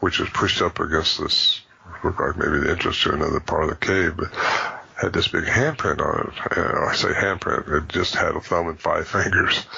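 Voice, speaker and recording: A man talks at a fairly quick pace with very even loudness. Noticeable background noise runs behind him. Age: 70s. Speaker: bigfoot researcher and author. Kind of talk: interview. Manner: halting.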